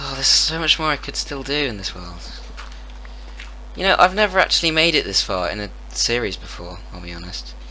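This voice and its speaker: Speaking at a fairly quick pace with big swings in loudness and long, frequent pauses, a man is heard over noticeable background noise. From Britain. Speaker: gaming content creator. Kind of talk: casual gaming commentary.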